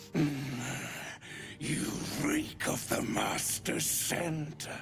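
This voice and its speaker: A man puts on a character voice at a fairly high pitch against clear background noise. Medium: machinima. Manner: guttural, clipped.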